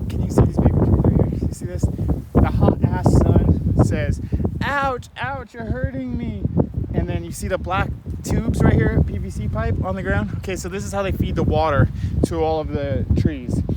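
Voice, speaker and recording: The voice swings very widely in pitch. Audible room echo and noticeable background noise fill the recording. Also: man, very deep, low pitch for a man. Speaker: environmental consultant. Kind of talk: walkthrough video monologue. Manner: fast; animated.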